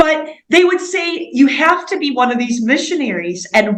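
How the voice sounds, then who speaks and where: A woman with a Midwestern accent speaks with very wide pitch swings. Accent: American Midwest. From US Midwest, Indiana. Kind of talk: interview. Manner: casual, conversational.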